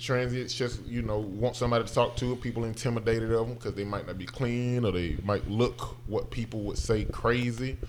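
With a Southern US accent, a man speaks at a moderate pace and medium pitch in a monotone, flat intonation. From Alabama. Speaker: actor. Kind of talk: casual chat.

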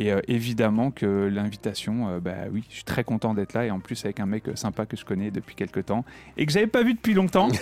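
The recording is very clean with a silent background and a dry, close sound with no echo. A man speaks at a fairly low pitch and fairly quick pace with ordinary pitch variation. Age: 40s. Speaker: DJ. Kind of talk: radio interview. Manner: halting.

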